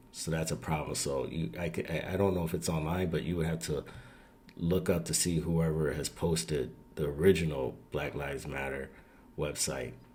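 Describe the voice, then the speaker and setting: This man's voice is very deep and low in pitch, with vocal fry. His intonation stays fairly even. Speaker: video commentator. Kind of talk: casual commentary. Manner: slow.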